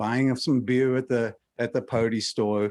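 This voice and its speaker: A man with a normal speaking voice, medium pitch, fairly even intonation and a moderate pace. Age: 60s. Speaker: member of the public at hearing. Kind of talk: public comment.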